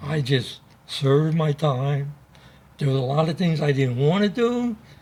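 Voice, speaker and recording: Somewhat breathy and lively in intonation, a man talks at a fairly slow pace. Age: 80s+. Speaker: Navy veteran. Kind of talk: interview.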